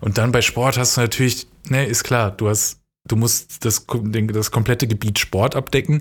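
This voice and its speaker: Somewhat breathy and medium-pitched, a man speaks at a moderate pace in a very clean recording with a silent background. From western Germany, near Dortmund (NRW). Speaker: podcast co-host. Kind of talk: casual chat.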